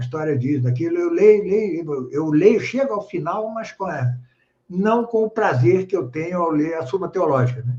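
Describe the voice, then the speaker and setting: A man's dark, mellow tone at a fairly slow pace, with very wide pitch swings. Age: 70s. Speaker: professor and author. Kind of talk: casual interview on a live stream. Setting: online live stream. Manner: hesitant, many fillers.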